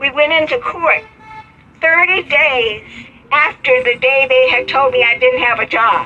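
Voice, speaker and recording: With an American accent, a woman talks at a very slow pace in a high, raised, projected voice with ordinary pitch variation, over noticeable background noise. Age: 80s+. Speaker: civil rights activist and retired teacher. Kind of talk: interview answer.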